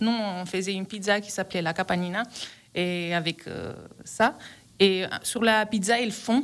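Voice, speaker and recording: A woman with an Italian accent at a medium pitch, fairly slow pace, long and frequent pauses, fairly even intonation and big swings in loudness. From Calabria, southern Italy. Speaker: restaurant owner. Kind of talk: radio interview. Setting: radio studio. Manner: hesitant.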